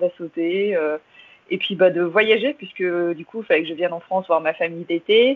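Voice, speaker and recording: A woman with an ordinary speaking voice talks at a medium pitch and a moderate pace. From London, England, with Irish father. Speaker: English teaching entrepreneur. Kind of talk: interview.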